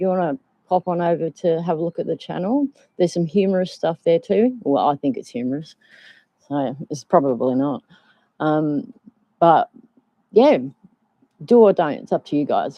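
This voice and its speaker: With an Australian accent, a woman with a fairly low pitch speaks at a moderate pace, her pitch swinging very widely and her pauses long and frequent. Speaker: vlogger. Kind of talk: casual live stream chat. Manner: hesitant, many ums.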